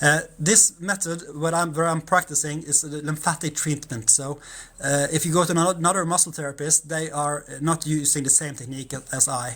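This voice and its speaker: A non-native accent at a fairly quick pace. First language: Norwegian. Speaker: massage therapist. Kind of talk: tutorial. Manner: halting.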